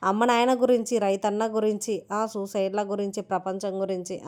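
A woman talks in a medium pitch with fairly even intonation. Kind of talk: sales pitch.

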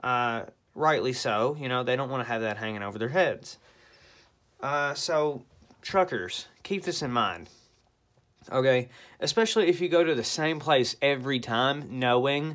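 With lively intonation, a man talks at a moderate pace, taking long, frequent pauses. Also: quiet background. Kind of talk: casual vlog rant. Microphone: phone near.

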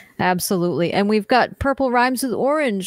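Using an ordinary speaking voice, a woman with an American accent talks at a fairly quick pace with lively intonation. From French Canadian, now American. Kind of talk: casual chat. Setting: video call.

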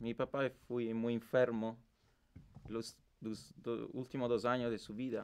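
A man talks at a fairly slow pace in a monotone, flat intonation, with long, frequent pauses. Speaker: interviewee in experimental documentary. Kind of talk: personal story, testimony. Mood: reflective, emotional about late father.

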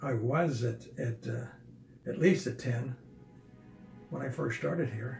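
A man speaks at a medium pitch and a fairly slow pace. Audible room echo and clear background music fill the recording. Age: 80s+. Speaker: patient describing vertigo recovery. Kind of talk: interview answer.

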